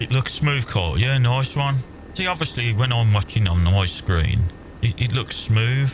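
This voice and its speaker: With noticeable background noise behind him, a man speaks at a moderate pace and a medium pitch, his intonation lively. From English Midlands, Worcestershire. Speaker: gaming streamer. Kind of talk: casual chat while gaming. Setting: live stream.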